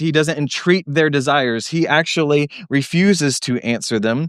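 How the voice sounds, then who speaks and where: A man with an unremarkable speaking voice sits at a fairly high pitch with ordinary pitch variation. The recording is very clean, silent in the background, with a dry, close sound and no echo. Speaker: pastor. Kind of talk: sermon. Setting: church.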